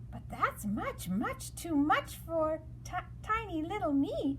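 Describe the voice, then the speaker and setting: A woman uses a put-on character voice at a fairly slow pace. Background noise is clearly audible. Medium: read story. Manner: timid.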